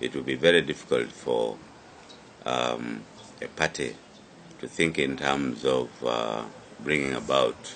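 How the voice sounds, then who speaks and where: Amid noticeable background noise, a man with a very deep, low voice speaks at a fairly slow pace with long, frequent pauses. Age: 70s. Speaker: politician, party chairman and presidential candidate. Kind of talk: interview statement. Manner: halting, many fillers.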